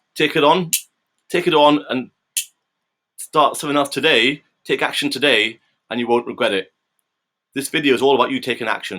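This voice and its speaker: A man talks at a very fast pace in a medium pitch with a bright, sharp tone. His intonation is lively, broken by long, frequent pauses. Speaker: personal trainer. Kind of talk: motivational talk to camera. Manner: halting, repeats words.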